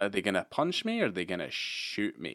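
A man talks with a Scottish accent and ordinary pitch variation. The recording is very clean, with a silent background. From Scotland, Edinburgh. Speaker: podcast co-host. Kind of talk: casual chat.

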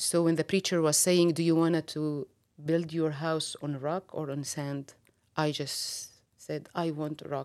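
With an Arabic accent, a woman speaks slowly, fairly so, in a very deep, low pitch and a monotone, flat intonation, on a very clean recording with a silent background. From Syria. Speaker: ministry worker. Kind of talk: interview testimony.

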